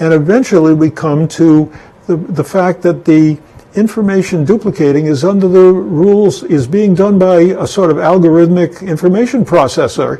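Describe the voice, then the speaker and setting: A man speaks at a moderate pace with a high pitch. His loudness stays very even throughout. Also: ordinary pitch variation. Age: 80s+. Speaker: philosophy lecturer. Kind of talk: lecture. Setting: home studio. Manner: halting.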